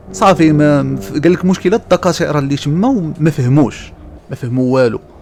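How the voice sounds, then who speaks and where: Music plays in the background as a man talks. His pitch is fairly high and his intonation lively. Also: moderate pace. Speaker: gaming YouTuber. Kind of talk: horror story told over gameplay. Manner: casual, conversational.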